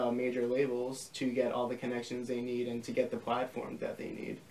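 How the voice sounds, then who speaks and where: This is a man speaking. He has an American accent. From Long Island, New York; New York. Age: 20s. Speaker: record label founder; interviewee. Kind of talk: casual interview. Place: home room.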